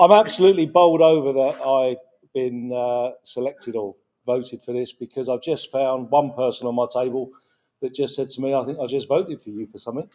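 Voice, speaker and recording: In a dark, mellow tone, this voice moves at a very fast pace with a British accent. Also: man. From UK. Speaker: award recipient, car detailer. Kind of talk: acceptance speech. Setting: stage at awards gala.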